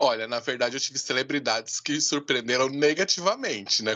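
Here a man talks with a bright, sharp tone and ordinary pitch variation. The sound is dry and close, with no echo. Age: 30s. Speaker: podcast host. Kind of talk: casual chat.

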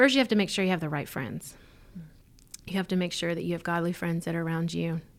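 With a Southern US accent, a woman talks very fast at fairly low pitch with ordinary pitch variation, breaking it up with long, frequent pauses. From Mississippi. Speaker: church leader, pastor's wife. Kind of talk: interview testimony.

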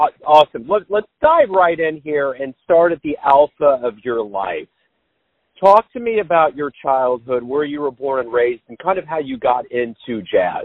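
A man with an unremarkable speaking voice and a fairly high pitch talks at a moderate pace, his intonation lively and his loudness swinging widely. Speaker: jazz podcast interviewer. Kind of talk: interview.

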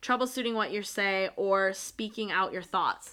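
A woman speaks in an animated, bright, sharp tone at a fairly high pitch with ordinary pitch variation. The recording is very clean, with a silent background. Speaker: tarot podcast co-host. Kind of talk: casual chat. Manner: loud.

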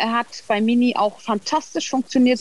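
A woman talks in an ordinary speaking voice with ordinary pitch variation. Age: 40s. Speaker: cat owner. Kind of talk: casual interview.

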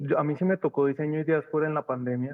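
Intonation stays monotone and flat as a man talks at a fairly high pitch. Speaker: university design department head. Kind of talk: casual brainstorming panel.

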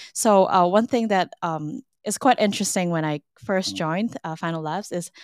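This is an unremarkable speaking voice: a woman at a fairly low pitch and moderate pace with ordinary pitch variation, recorded very cleanly with a silent background and a dry, close sound with no echo. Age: 20s. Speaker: marketing manager. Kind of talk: interview.

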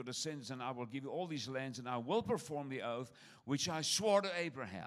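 A man's animated tone with lively intonation. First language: not English. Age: 60s. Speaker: traveling preacher. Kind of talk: sermon. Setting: church with audience.

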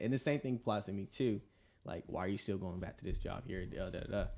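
On a very clean recording with a silent background, a man speaks very fast in a fairly low pitch. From US South, Atlanta, Georgia. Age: 20s. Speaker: navy culinary specialist. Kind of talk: faith-based casual discussion. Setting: studio.

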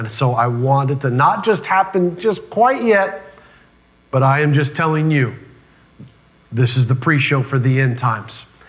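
With lively intonation and an animated tone, the speaker goes at a moderate pace broken by long, frequent pauses, amid noticeable background noise and audible room echo. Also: man, fairly high pitch for a man. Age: 30s. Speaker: pastor. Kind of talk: sermon.

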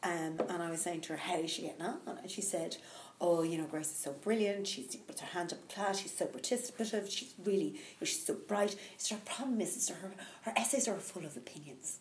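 A woman with a Dublin accent speaks at a fairly quick pace in a medium pitch with lively intonation, amid noticeable background noise and audible room echo. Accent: Dublin Irish. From Ireland, Dublin. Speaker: executive coach and mindfulness teacher. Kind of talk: casual interview. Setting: live recording.

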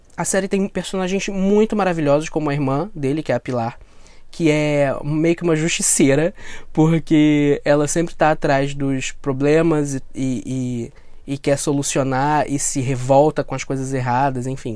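A man's fairly high voice in a dark, mellow tone, at a fairly slow pace with ordinary pitch variation. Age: 30s. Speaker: podcast host. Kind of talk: casual monologue review. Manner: animated.

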